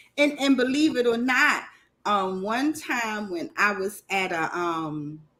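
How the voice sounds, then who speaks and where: On a very clean recording with a silent background, a woman with a Southern US accent speaks at medium pitch in a bright, sharp tone with very wide pitch swings. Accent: southern twang, dragging her R's and L's. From Maryland, US. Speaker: livestream host. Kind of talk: casual chat. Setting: livestream panel with headset mic.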